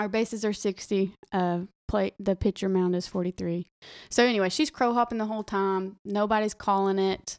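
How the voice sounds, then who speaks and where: Recorded very cleanly against a silent background, with a dry, close sound and no echo, a woman speaks at a moderate pace in a medium pitch with a Southern US accent. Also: fairly even intonation. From Arkansas. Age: 20s. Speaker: teacher and former college softball player. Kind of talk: casual chat.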